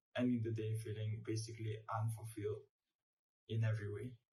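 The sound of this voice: A man's fairly low, dark and mellow voice in a flat monotone, with audible room echo.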